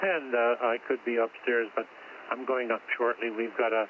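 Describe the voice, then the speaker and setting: Intonation stays fairly even at a moderate pace. Noticeable background noise sits behind the voice. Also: man. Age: 80s+. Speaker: amateur radio operator. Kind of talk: amateur radio net chat. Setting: radio station at home.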